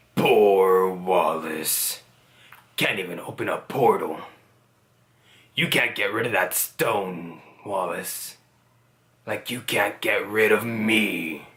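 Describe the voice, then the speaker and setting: A man's put-on character voice, fairly low and menacing in tone, at a very slow pace with long, frequent pauses. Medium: tutorial demo. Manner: taunting, menacing.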